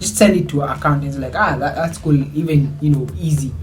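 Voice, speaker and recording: A man with a fairly high pitch talks at a fairly quick pace, with audible room echo and noticeable background noise. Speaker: YouTuber. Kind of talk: storytelling vlog. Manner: casual, Swahili-English code-switching.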